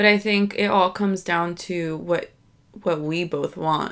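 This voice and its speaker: A woman with a normal speaking voice talks at a fairly slow pace in an American accent, her fairly low pitch held in a fairly even intonation. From US, Dominican family. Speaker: podcast co-host. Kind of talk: casual chat.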